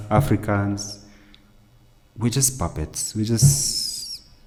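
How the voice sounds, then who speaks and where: A man's somewhat breathy voice with a dark, mellow tone, medium in pitch. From Kenya (Kikuyu). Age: 30s. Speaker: podcast host. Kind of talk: heated debate. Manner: animated.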